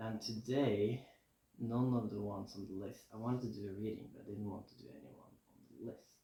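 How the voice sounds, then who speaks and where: Somewhat breathy and dark, mellow in tone, a man talks at a fairly quick pace and fairly low pitch with fairly even intonation and big swings in loudness, amid audible room echo. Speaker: tarot reader. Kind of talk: casual tarot reading to camera. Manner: mumbling at times; relaxed, chill.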